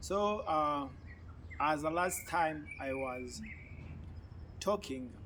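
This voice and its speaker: A man with a fairly high, bright, sharp voice speaks at a very slow pace with long, frequent pauses and ordinary pitch variation, his words carrying audible room echo. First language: an African language (not English). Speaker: YouTube commentator. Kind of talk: political commentary monologue. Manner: halting.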